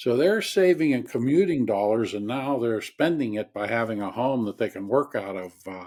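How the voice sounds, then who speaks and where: A man speaks at a moderate pace and a medium pitch, with lively intonation. His loudness swings widely in a very clean recording with a silent background. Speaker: financial advisor panelist. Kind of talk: panel discussion.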